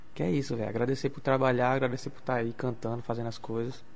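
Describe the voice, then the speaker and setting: A man with a medium pitch talks at a very fast pace, with audible room echo around him. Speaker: singer. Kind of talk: radio interview. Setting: radio studio.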